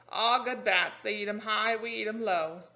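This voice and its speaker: In a croaky put-on character voice, a woman speaks at a fairly high pitch and a moderate pace. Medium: read story. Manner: short broken phrases.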